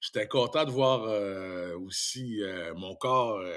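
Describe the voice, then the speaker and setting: The man's voice sits at a medium pitch and rises and falls in an ordinary way. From Quebec (Saint-Tite, Mauricie). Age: 50s. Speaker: radio host and former handball player. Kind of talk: casual interview; show plug.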